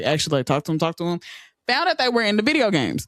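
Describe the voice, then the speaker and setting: The speaker uses an animated tone. The recording is very clean, with a silent background. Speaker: streamer and gamer. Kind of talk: casual podcast chat.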